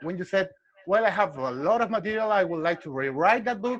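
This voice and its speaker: With a Spanish accent, a man speaks in a high pitch with lively intonation. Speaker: martial arts instructor. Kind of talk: interview. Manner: halting.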